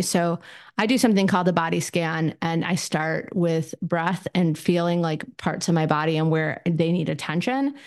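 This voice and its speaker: With a quiet background, a woman talks in an ordinary speaking voice, fairly low in pitch, with ordinary pitch variation. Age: 50s. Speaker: therapist podcaster. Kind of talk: solo podcast talk, casual. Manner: casual, filler-heavy, conversational.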